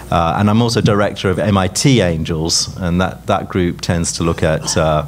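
There is light background noise as a man with a very deep, low pitch talks at a moderate pace. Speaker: tech entrepreneur and investor. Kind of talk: panel discussion. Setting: stage with audience. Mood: relaxed, friendly, smiling. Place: hall. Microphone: handheld.

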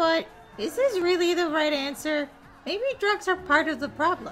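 A cartoonish character voice moves at a moderate pace while clear music plays in the background. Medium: puppet. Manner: gloomy, uncertain.

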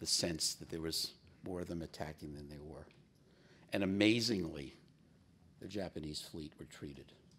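This man talks at a moderate pace. His pitch variation is ordinary. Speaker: business executive and navy veteran; guest. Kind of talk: keynote speech. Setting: stage with audience. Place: hall. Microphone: podium.

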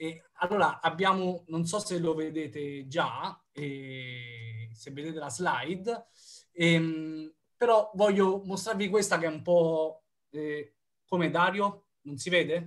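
Against a quiet background, a man speaks at a very slow pace in a high pitch. His loudness swings widely. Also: ordinary pitch variation. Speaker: researcher. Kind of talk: lecture. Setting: video call. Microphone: video call.

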